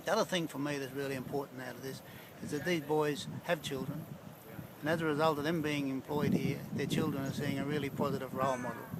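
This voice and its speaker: Speaking very fast with an Australian accent and fairly even intonation, the voice comes through noticeable background noise. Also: man, fairly high pitch for a man. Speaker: counsellor. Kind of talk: interview testimony.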